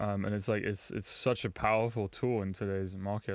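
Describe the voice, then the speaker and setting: This man talks at a fairly quick pace in a fairly low, monotone, flat voice. The recording is very clean with a silent background. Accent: London. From London, England. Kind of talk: casual chat.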